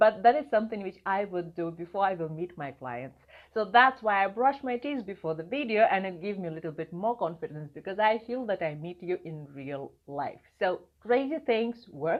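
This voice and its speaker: A woman with a non-native accent talks at a moderate pace and medium pitch, her voice making very wide pitch swings and big swings in loudness with hardly any pauses. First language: not English. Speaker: video marketing coach. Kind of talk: vlog talk to camera.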